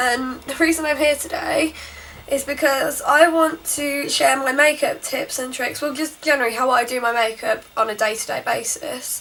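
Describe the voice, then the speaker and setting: A woman speaks at a moderate pace in a high pitch, with noticeable background noise behind her. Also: ordinary pitch variation. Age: young. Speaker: beauty vlogger. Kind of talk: makeup tutorial voiceover. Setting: home recording with borrowed mic.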